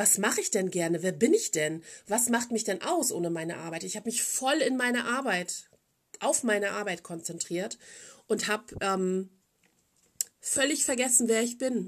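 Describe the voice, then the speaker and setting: Pausing often and at length, a woman with a fairly high voice speaks at a moderate pace with lively intonation. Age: 40s. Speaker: podcast host. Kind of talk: casual monologue.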